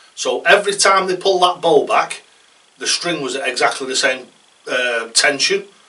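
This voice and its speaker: A man talks at a moderate pace in a high voice. Noticeable background noise sits behind him. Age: 60s. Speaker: darts coach. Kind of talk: casual tutorial talk. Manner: conversational, rambling with hesitations.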